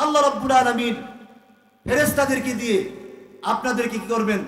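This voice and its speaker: An extremely high-pitched man is speaking. His intonation stays fairly even. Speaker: Islamic preacher. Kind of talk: religious sermon at a public gathering.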